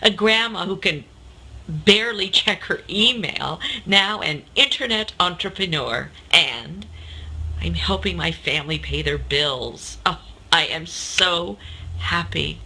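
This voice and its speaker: A woman speaks very slowly. Noticeable background noise runs underneath. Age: 60s. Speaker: customer testimonial giver. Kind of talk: testimony.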